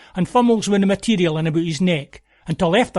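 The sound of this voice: The delivery is an unforced reading voice. Its pitch varies in an ordinary way.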